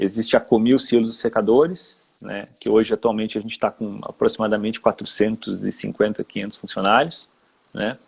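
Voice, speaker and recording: Speaking with a Rio Grande do Sul accent, a man uses a medium pitch, fairly even intonation and a moderate pace, his loudness swinging widely in a dry, close sound with no echo. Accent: gaúcho (Rio Grande do Sul) Portuguese. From Rio Grande do Sul, southern Brazil. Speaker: HR manager. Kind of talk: live-stream interview. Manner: hesitant, with repetitions.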